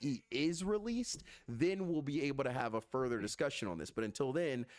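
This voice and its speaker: An American-accented man with lively intonation and a fairly high pitch. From US South. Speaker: gaming streamer. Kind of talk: heated debate.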